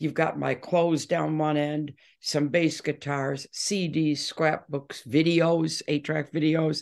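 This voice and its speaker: In an American accent, a woman with a very deep, low voice speaks in a monotone, flat way with hardly any pauses against a quiet background. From Detroit, Michigan, USA. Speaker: rock singer and bass guitarist. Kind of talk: interview answer.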